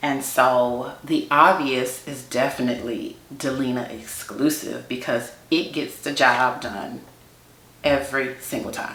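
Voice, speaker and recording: In an American accent, a woman speaks slowly-ish at a fairly slow pace with a very deep, low pitch, fairly even intonation and big swings in loudness, amid audible room echo. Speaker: beauty YouTuber. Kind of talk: casual chat.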